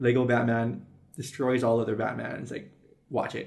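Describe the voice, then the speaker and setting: A man's voice at a moderate pace, with audible room echo. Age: 20s. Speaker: podcast co-host. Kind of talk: casual chat.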